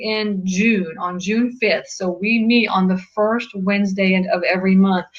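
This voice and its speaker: A woman's voice with fairly even intonation, set against noticeable background noise. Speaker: real estate investing club organizer. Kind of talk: webinar presentation. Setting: webinar video call. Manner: fast.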